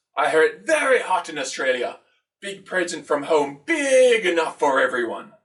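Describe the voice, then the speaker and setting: A put-on character voice from a man, high for a male speaker, delivered at a moderate pace. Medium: read story. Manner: clipped broken English.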